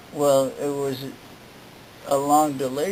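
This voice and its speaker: A man talks over noticeable background noise. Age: 70s. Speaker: cancer patient. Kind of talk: interview answer. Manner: halting, hesitant.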